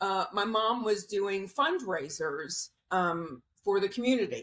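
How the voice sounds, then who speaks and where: Using a plain, everyday voice, a woman with an American accent speaks at a medium pitch and moderate pace with lively intonation. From US South, Cocoa Beach, Florida. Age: 60s. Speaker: former fashion model. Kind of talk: interview.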